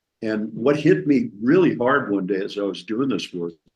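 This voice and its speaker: Vocal fry marks this man's voice as he talks at a moderate pace with very wide pitch swings. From Kentucky. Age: 70s. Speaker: recovering alcoholic sharing experience. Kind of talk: personal testimony in conversation.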